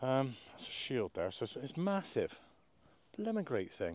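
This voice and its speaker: The speaker is a man. He talks with a West Country accent. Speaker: metal detectorist vlogger. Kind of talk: casual outdoor vlog commentary. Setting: outdoors in a field. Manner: animated.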